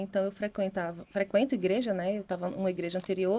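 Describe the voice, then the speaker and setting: The tone of this woman's voice is dark and mellow. Nothing can be heard behind her on this very clean recording. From Brazilian Northeast, Recife, Pernambuco. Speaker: real estate agent. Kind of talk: interview testimony.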